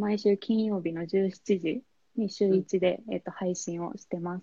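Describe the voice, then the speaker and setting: A woman speaks in a normal speaking voice at a medium pitch. Her pace is moderate. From Japan, Oita Prefecture (Kyushu). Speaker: fashion influencer. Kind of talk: interview.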